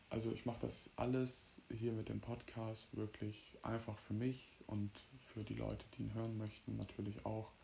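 A man speaks in a fairly low pitch with a dark, mellow tone that is somewhat breathy. His moderate pace carries monotone, flat intonation. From Mecklenburg-Western Pomerania, Stralsund. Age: 20s. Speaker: podcast host, amateur musician. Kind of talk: casual solo monologue. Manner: hesitant, many filler sounds.

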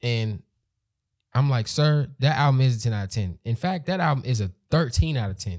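At a moderate pace, a man talks in a medium-pitched, somewhat breathy voice with lively intonation. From Maryland. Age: 20s. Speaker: podcast co-host. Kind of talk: casual chat.

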